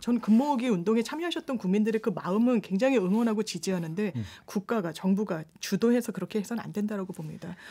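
Very fast delivery with lively intonation, somewhat breathy, in a dark, mellow tone. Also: woman, medium pitch for a woman. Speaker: lawyer. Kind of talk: radio panel discussion. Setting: radio studio. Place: studio.

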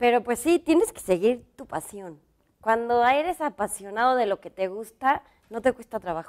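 Against a quiet background, a woman speaks at a moderate pace in a fairly high pitch. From Mexico. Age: 40s. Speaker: fashion designer; interview guest. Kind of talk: interview. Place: studio. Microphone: lapel.

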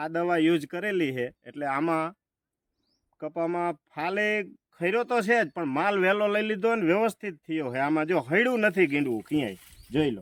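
High-pitched male speech with lively intonation, a very clean recording over a silent background, and a dry, close sound with no echo. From Gujarat, Halvad area. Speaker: farmer. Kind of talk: testimonial. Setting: outdoors in a cotton field.

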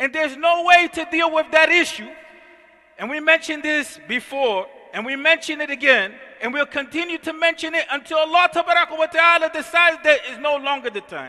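Raising and projecting his voice, a man talks at a moderate pace at an extremely high pitch with ordinary pitch variation. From US, North Philadelphia. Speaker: imam. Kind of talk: sermon. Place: church. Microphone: headset.

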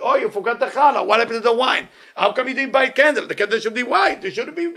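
Noticeable background noise sits behind a man talking at a fairly quick pace. His pitch is extremely high. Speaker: rabbi teaching Torah lecturer. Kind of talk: guided meditation; Torah lecture. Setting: live in-person audience. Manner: animated, conversational.

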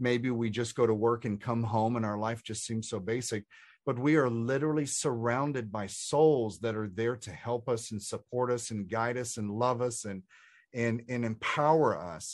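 An unremarkable speaking voice, a man at medium pitch with an American accent, fairly even intonation and a moderate pace, over a quiet background. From Texas. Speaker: spiritual author and coach. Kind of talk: interview conversation.

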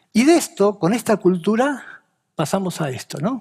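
A man against a quiet background. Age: 50s. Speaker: BIM and CAD consultant; presenter. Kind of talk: talk to an audience. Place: stage. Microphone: headset.

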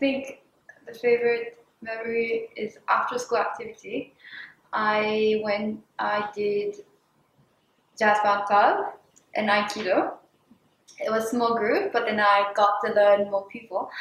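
Pitched fairly high, a woman speaks fairly slowly in a monotone with flat intonation, leaving long, frequent pauses amid audible room echo. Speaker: former student. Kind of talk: interview. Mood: warm, nostalgic, smiling. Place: classroom.

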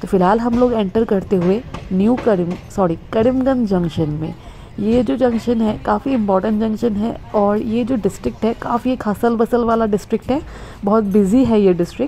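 The speech moves at a fairly slow pace with ordinary pitch variation. Light background noise can be heard. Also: woman. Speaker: travel vlogger. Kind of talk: casual vlog commentary. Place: train. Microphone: phone near.

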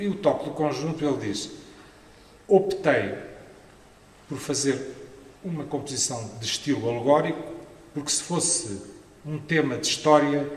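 In a European Portuguese accent, the voice moves at a fairly slow pace with ordinary pitch variation and audible room echo. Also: man. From Portugal. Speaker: art historian, professor; professor. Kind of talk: conference talk. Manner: hesitant, with fillers. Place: hall. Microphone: podium.

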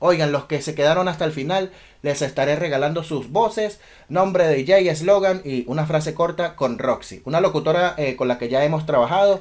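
The speaker is a man moving at a fairly quick pace. Pitch shifts in an ordinary way. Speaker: DJ. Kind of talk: casual talk to camera. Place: home room.

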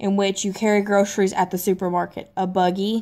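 A woman with a Southern US accent speaks at a moderate pace in a medium pitch. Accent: Southern US, noticeable. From US South (Tennessee, Mississippi). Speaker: YouTuber. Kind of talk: casual vlog reading questions. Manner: casual, slightly hesitant. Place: home room. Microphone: phone near.

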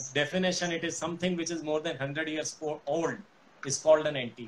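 At a fairly quick pace, a man speaks with fairly even intonation over light background noise. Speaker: guest. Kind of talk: interview answer. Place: office. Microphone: video call.

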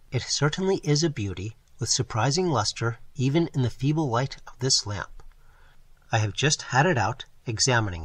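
Against a quiet background, a man speaks at a moderate pace in a somewhat breathy voice of medium pitch with lively intonation. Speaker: audiobook narrator. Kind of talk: audiobook reading of a first-person sci-fi diary entry.

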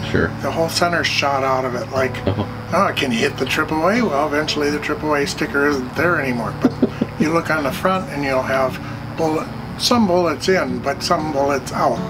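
Music plays behind the speaker. He is a man whose pitch varies in an ordinary way. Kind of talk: interview answer. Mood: relaxed, amused. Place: workshop.

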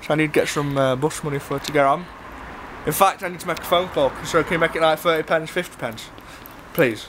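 Over noticeable background noise, a man talks in a high voice. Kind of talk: casual banter, in-character comedy. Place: street. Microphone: phone near.

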